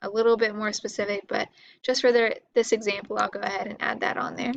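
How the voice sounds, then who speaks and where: A woman speaks fairly quickly at a fairly high pitch, with ordinary pitch variation. Vocal fry shows up in her voice. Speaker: teacher. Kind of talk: tutorial. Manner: fast; casual.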